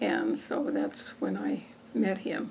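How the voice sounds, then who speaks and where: A woman speaks very slowly with an American accent. Noticeable background noise is present. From northern Colorado, near Windsor. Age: 80s+. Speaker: farm wife, oral history interviewee. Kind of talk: oral history interview.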